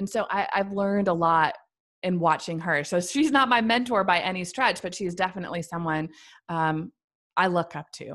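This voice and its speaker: In a very clean recording with a silent background, a woman with an American accent talks at a moderate pace and medium pitch with ordinary pitch variation. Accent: Midwestern US with a slight Southern tinge. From central Missouri. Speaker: business owner and podcaster. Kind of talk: casual interview chat.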